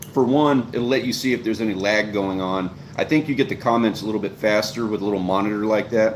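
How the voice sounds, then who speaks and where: A man talks at a very fast pace with fairly even intonation. Noticeable background noise is present. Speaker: fishing channel host and live streamer. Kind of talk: live stream Q&A, casual advice. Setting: live stream. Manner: loud; fast, long-winded.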